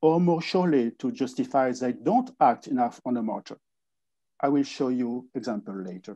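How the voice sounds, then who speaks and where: A man's voice with a French accent, at a moderate pace, with ordinary pitch variation. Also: medium pitch for a man. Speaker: wine industry association director. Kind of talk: conference presentation. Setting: online conference. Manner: halting with frequent fillers.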